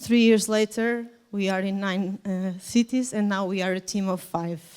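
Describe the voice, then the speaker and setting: A woman talks with a Portuguese accent at a medium pitch. Her intonation is monotone and flat. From Portugal. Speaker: nonprofit volunteer organizer and kindergarten teacher. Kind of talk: conference presentation. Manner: halting, with hesitations.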